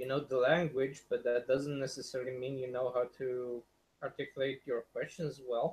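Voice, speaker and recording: A man's somewhat breathy, medium-pitched voice, monotone and flat, at a moderate pace. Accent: non-native. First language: not English. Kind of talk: casual chat.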